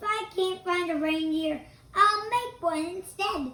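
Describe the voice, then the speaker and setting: A woman's put-on character voice, extremely high and squeaky yet growling, at a fairly slow pace with ordinary pitch variation and big swings in loudness. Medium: read story. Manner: snarling, sneering.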